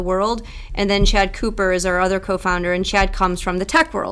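A woman's medium-pitched voice, a normal speaking voice, at a fairly quick pace. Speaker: tech startup founder. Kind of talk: casual interview.

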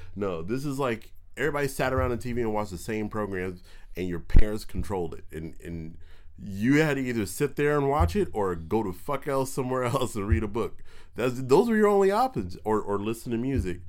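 At a fairly quick pace, a man with an ordinary speaking voice talks at medium pitch with lively intonation. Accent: American. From Southern California (Pasadena). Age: 30s. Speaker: stand-up comedian. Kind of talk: casual chat. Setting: studio.

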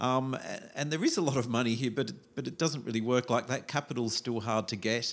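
In an Australian accent, a man talks at a fairly quick pace with hardly any pauses, a medium pitch and ordinary pitch variation. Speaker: foreign correspondent. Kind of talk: interview. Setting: in person in Shanghai.

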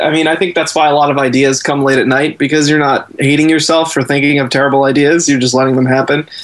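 A man with a fairly high pitch talks at a very fast pace with very even loudness. Noticeable background noise is present. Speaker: writer. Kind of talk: casual chat.

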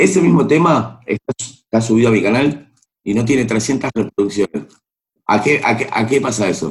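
A man with a medium-pitched, somewhat breathy voice talks at a moderate pace with ordinary pitch variation. The sound is dry and close, with no echo. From Argentina, Buenos Aires. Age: 40s. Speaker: singer and music producer. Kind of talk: interview.

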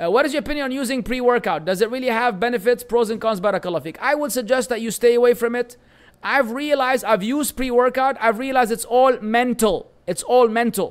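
With a Lebanese accent, a man speaks at a very fast pace in an extremely high pitch, with ordinary pitch variation. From Lebanon. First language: Arabic. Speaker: Islamic teacher. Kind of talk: religious lecture.

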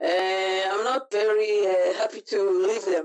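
The speaker has an Israeli accent. The pace is very slow. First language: Hebrew. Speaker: martial arts instructor. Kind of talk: casual interview. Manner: halting, searching for English words.

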